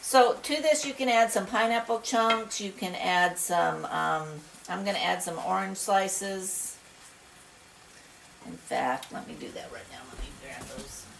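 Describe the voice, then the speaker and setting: A woman talks fairly slowly against noticeable background noise. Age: 60s. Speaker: retired homesteader cooking channel host. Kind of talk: casual cooking tutorial. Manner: hesitant, many fillers.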